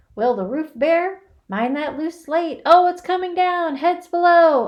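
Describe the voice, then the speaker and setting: Using a put-on character voice, a woman speaks at a moderate pace in a raised, projected voice. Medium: read story. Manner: rough, bickering.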